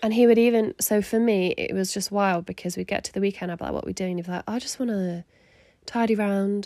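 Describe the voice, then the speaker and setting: With a southern English accent, a woman speaks at medium pitch in a dark, mellow tone and fairly even intonation, the sound dry and close with no echo on a very clean recording against a silent background. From southern England (Surrey). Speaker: podcast host, mother and church leader. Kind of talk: casual chat.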